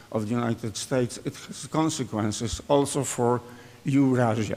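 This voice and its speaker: A Polish-accented man at medium pitch, moderate pace and ordinary pitch variation. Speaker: economist, author. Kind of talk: conference speech.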